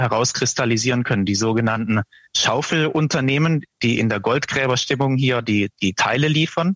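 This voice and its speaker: Recorded with a dry, close sound and no echo, a man has a plain, everyday voice at medium pitch with ordinary pitch variation. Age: 20s. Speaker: portfolio manager. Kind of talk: interview.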